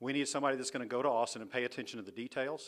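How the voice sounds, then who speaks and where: There is a Texan accent on this man's medium-pitched voice. The recording is very clean, with a silent background. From Texas. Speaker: political candidate. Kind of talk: campaign speech.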